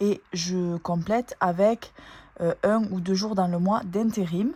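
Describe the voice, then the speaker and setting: A woman in a southern French accent, with fairly even intonation. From southern France, Toulouse area. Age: 20s. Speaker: nurse and family budget vlogger. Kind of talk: casual budget vlog talk. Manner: hesitant, frequent fillers.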